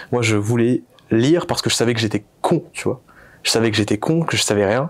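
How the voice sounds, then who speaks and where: Here a man speaks at medium pitch. His pace is fairly quick with ordinary pitch variation. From Réunion (Saint-Pierre). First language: Réunion Creole (speaking French). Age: 20s. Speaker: entrepreneur. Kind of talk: interview. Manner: hesitant, many fillers.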